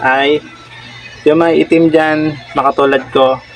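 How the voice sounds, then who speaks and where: A man with a fairly high voice speaks at a fairly slow pace with fairly even intonation. Music plays in the background. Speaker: prank vlogger. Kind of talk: prank vlog with mock online selling.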